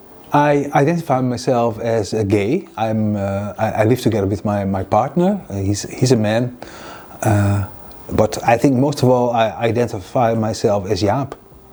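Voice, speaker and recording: A man talks at a moderate pace with a medium pitch and ordinary pitch variation. Noticeable background noise runs under his voice. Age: 60s. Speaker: university program manager. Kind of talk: interview testimony.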